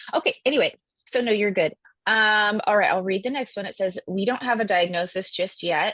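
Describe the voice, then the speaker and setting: At a fairly quick pace, a woman with a medium pitch and ordinary pitch variation is heard in a dry, close recording with no echo. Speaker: webinar host. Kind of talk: live Q&A. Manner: loud.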